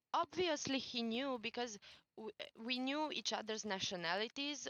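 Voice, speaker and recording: Speaking at a fairly slow pace with lively intonation, a woman talks in a Romanian accent. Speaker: former community admin. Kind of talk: podcast interview testimony. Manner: halting.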